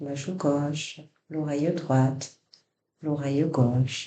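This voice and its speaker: This man's fairly high voice has a dark, mellow, somewhat breathy tone, moving at a very slow pace with fairly even intonation. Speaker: yoga nidra guide. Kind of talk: guided relaxation body scan. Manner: soft-spoken, slow.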